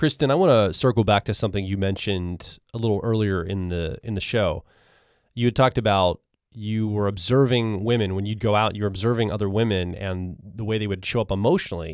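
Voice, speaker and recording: A man's unremarkable speaking voice, fairly low in pitch, with ordinary pitch variation and a fairly quick pace, on a very clean recording with a silent background. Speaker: podcast host. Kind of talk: casual interview.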